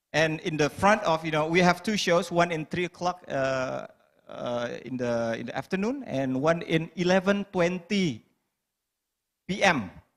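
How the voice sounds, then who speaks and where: A man speaks in a high voice with an Indonesian accent. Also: fairly slow pace. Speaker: stand-up comedian. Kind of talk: panel discussion.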